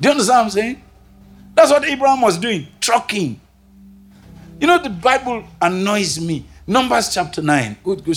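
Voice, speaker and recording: A man with a Nigerian accent at a moderate pace, very wide pitch swings, and music in the background. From northern Nigeria, Kaduna. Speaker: pastor. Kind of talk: sermon. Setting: stage with audience. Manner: animated.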